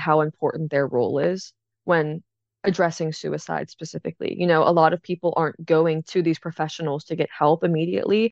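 Here is a woman with an unremarkable speaking voice and a fairly low pitch, moving at a fairly quick pace. The sound is dry and close with no echo, over a quiet background. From Pittsburgh, Pennsylvania. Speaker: AmeriCorps member, suicide prevention trainer. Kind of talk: interview.

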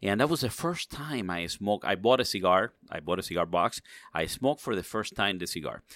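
A man with a Spanish accent speaks at a fairly quick pace in a fairly low pitch with lively intonation, on a very clean recording with a silent background. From Cuba, raised in Miami Cuban community. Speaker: cigar industry executive. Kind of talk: interview.

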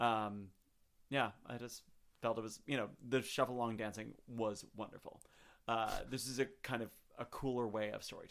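A man's medium-pitched voice stays monotone, with flat intonation. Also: moderate pace. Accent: American. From Chicago. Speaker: podcast guest, theater fan. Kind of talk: casual chat. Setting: home microphone setup.

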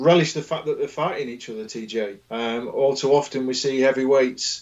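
In a British accent, a man speaks at a moderate pace with medium pitch and ordinary pitch variation. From England. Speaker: boxing writer. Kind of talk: casual chat.

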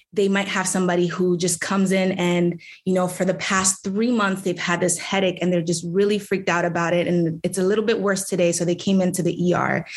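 In a flat, monotone way, a woman with a medium pitch talks at a fairly quick pace with hardly any pauses. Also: very even loudness. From New York City, the Bronx. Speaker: city council member. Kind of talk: political interview.

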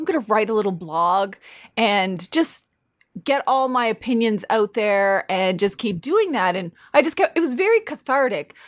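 A woman with an unremarkable speaking voice and a Canadian accent, moderate pace, lively intonation, dry, close sound with no echo, very clean recording with a silent background. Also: fairly high pitch for a woman. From northern New Brunswick, Canada (Mi'kmaq First Nation). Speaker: lawyer and law professor. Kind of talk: casual interview.

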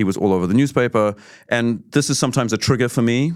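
This man talks at a very fast pace with ordinary pitch variation. The recording is very clean, with a silent background. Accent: New Zealand. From New Zealand, Auckland. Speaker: artist. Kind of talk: casual interview chat. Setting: studio.

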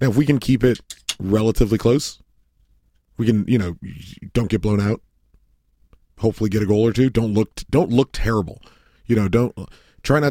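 A man speaks fairly quickly in a dark, mellow tone with ordinary pitch variation, long, frequent pauses, and a dry, close sound with no echo. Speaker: soccer podcast co-host. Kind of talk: casual chat.

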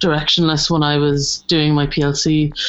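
A woman speaks in a very deep, low voice with a southeastern Irish accent. Noticeable background noise runs behind her. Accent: Irish (south-east). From Ireland, Wexford and Waterford. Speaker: animation art director. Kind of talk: casual chat.

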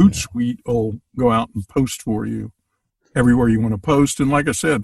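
A man's somewhat breathy, medium-pitched voice with fairly even intonation and a dry, close sound with no echo. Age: 70s. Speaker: podcast guest. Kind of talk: casual chat.

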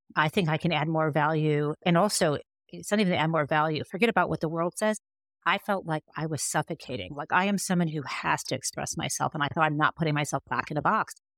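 A woman speaks at a very fast pace in a very deep, low pitch with ordinary pitch variation, her voice dry and close with no echo in a very clean recording with a silent background. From US Midwest, Michigan. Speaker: author and legal scholar. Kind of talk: interview conversation. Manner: animated.

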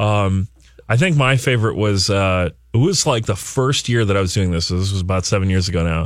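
A man speaks at a moderate pace in a fairly low, somewhat breathy voice. His pitch varies in an ordinary way. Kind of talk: radio talk show. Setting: studio.

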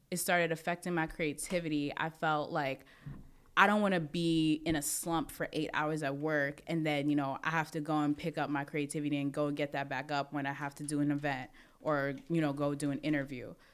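With a New York accent and a very deep, low pitch, a woman speaks at a fairly quick pace in a monotone, flat intonation, recorded very cleanly against a silent background. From Brooklyn, New York. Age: 20s. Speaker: mixed martial arts fighter and industry professional. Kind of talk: casual chat.

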